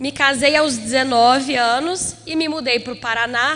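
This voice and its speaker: A woman speaks in a raised, projected voice at a high pitch with ordinary pitch variation, over noticeable background noise. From Brazil, Minas Gerais. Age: 20s. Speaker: preacher. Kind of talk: sermon. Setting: church conference with audience.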